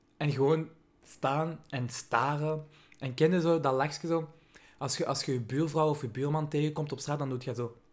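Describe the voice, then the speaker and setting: Animated man with a Flemish accent and fairly high pitch. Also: moderate pace. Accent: Flemish Belgian Dutch. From Belgium, Vilvoorde (Flemish Brabant); Belgium. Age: 20s. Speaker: YouTuber; vlogger. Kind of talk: comedic vlog monologue. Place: home room. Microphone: studio mic.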